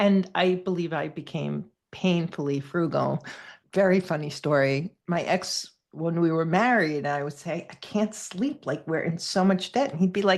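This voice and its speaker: A woman speaks at a moderate pace and fairly low pitch with ordinary pitch variation. It is a plain, everyday voice, set against a quiet background. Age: 60s. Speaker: podcast host. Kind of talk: interview.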